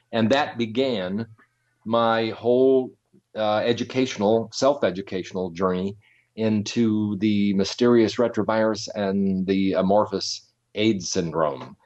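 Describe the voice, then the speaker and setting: Against a quiet background, a man speaks with an American accent at a fairly slow pace. His pitch is fairly low, with ordinary variation. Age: 60s. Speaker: journalism teacher, former reporter and press secretary. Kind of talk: interview. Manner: hesitant, many fillers.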